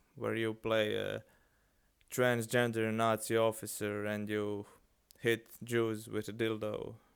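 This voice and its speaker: At a very slow pace with long, frequent pauses, a man speaks in a monotone, flat intonation at medium pitch. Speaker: live streamer. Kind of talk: casual live stream chat. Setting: live stream. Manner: halting.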